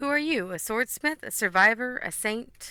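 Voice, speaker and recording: A woman uses a put-on character voice that is fairly high and raspy. She speaks at a moderate pace. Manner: questioning, probing.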